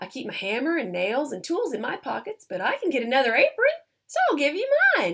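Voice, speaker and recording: A woman puts on a character voice with a high pitch and very wide pitch swings. She talks at a fairly quick pace. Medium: read story.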